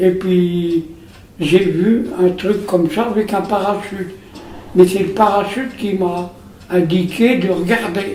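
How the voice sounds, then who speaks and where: A man speaks in a high pitch at a very slow pace with fairly even intonation and long, frequent pauses. Audible room echo and noticeable background noise surround him. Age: 90s. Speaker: wartime witness. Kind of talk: testimony. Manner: halting.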